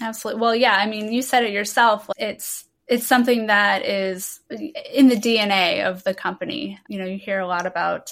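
On a very clean recording with a silent background, a woman with an ordinary speaking voice talks at a moderate pace with hardly any pauses, fairly high pitch and ordinary pitch variation. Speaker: podcast host. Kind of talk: interview, scripted intro.

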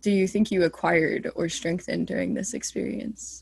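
This woman has an unremarkable speaking voice, fairly low in pitch, with ordinary pitch variation. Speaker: student podcast host. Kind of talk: interview.

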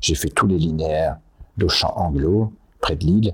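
A man speaks at a very slow pace in a very deep, low, somewhat breathy voice. His pitch varies in an ordinary way. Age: 80s+. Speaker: company founder. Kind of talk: interview. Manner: halting.

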